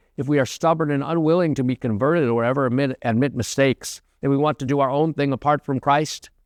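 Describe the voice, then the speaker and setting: A man with an American accent, fairly high pitch and ordinary pitch variation, at a fairly quick pace over a quiet background. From United States. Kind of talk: homily. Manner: fast.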